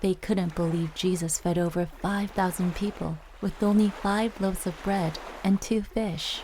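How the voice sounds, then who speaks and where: Over noticeable background noise, a woman speaks at medium pitch and a moderate pace, her intonation monotone and flat and her loudness very even. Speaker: voice actress. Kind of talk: children's Bible story narration.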